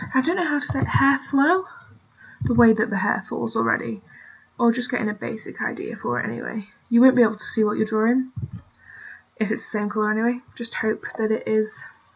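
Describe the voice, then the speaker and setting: A woman with a British accent, a fairly quick pace and long, frequent pauses. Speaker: digital art tutorial maker. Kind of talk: tutorial. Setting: screen recording at computer. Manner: casual, hesitant with fillers.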